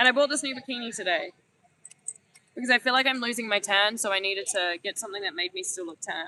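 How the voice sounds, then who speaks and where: A woman's fairly high, bright, sharp voice at a very fast pace, with lively intonation, big swings in loudness and a dry, close sound with no echo. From New Zealand. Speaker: travel vlogger. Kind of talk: casual vlog chat. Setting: outdoors on a beach.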